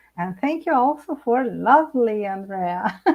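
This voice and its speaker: In a Brazilian accent, a woman speaks with a fairly high pitch. Her intonation is lively and her pace fairly slow. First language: Portuguese. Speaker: psychologist. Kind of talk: live interview. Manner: halting.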